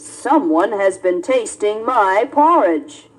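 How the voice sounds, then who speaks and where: A woman's growling, put-on character voice, fairly high in pitch, at a very slow pace. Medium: read story. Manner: gruff.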